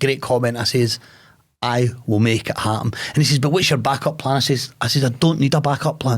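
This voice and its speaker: A man with a Glasgow accent speaks fairly quickly at a medium pitch. His voice is somewhat breathy, with ordinary pitch variation. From Scotland, Glasgow. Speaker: podcast host and businessman. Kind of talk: conversational interview, telling a personal story. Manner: plain-spoken, informal.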